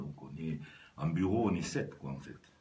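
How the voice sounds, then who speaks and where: In a southwestern French accent, a man talks in a very deep, low voice with a dark, mellow tone and vocal fry, with audible room echo. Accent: southwest French. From southwest France, Lot-et-Garonne. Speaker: business executive and rugby club president. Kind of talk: radio interview. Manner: halting, many hesitations.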